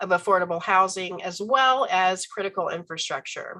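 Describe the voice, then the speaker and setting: Against a quiet background, a woman speaks at a moderate pace and medium pitch, her tone bright and sharp and her pitch varying in an ordinary way. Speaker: professor. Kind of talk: lecture.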